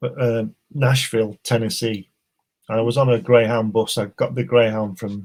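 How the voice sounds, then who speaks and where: A man with an English accent speaks at medium pitch and a moderate pace, his intonation fairly even. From England. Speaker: artist, author and filmmaker. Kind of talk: casual chat. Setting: livestream.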